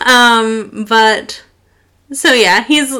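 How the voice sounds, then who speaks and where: In a raised, projected voice, a woman speaks. Her intonation is lively. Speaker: podcast co-host. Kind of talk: casual chat.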